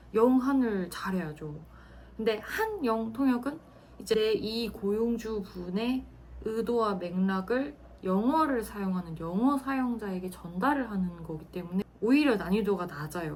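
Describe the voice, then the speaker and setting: A woman's medium-pitched voice at a fairly slow pace, with lively intonation, audible room echo and noticeable background noise. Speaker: former military interpreter, office worker. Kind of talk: personal storytelling monologue. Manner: casual, with frequent fillers.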